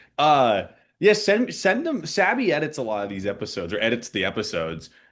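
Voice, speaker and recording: A man's voice swings very widely in pitch, with vocal fry. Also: quiet background. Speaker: podcast co-host. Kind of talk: casual chat.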